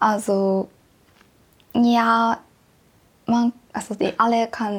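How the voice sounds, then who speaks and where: A woman talks very slowly. Her recording is very clean, the background silent. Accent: Japanese. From Japan, Tokyo. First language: Japanese (speaking German). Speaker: exchange student. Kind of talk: interview. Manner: halting.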